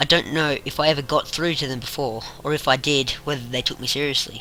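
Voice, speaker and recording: Music plays in the background as a man speaks at a moderate pace. His pitch is medium, with ordinary variation. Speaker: amateur creepypasta narrator. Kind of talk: horror story narration. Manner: slight stutter.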